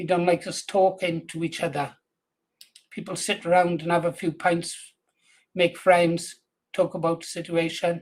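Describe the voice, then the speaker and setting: Long, frequent pauses break up this man's speech. His high-pitched intonation stays flat and monotone. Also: moderate pace. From England, Buckinghamshire, Welsh parents. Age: 70s; old. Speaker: political livestreamer. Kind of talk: casual livestream chat. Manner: halting with false starts.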